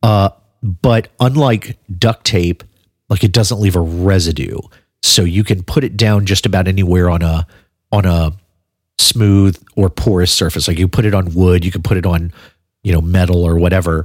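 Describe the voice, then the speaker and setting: A man with a very deep, low pitch speaks in a relaxed tone at a moderate pace, with ordinary pitch variation and very even loudness. The recording is very clean with a silent background and sounds dry and close with no echo. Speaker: podcast host and bass player. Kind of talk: casual podcast chat. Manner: relaxed, conversational, with fillers.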